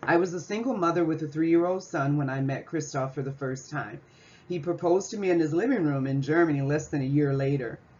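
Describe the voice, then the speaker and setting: A woman talks at a very fast pace with an American accent. Her pitch is very deep and low for a woman. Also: ordinary pitch variation. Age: 60s. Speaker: student presenting an assignment. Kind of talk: class presentation reading slides. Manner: scripted, formal.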